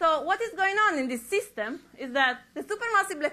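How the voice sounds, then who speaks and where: A woman's raised, projected voice with a European accent, fairly quick, with very wide pitch swings. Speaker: astrophysicist. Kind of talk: public lecture. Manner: halting with frequent restarts.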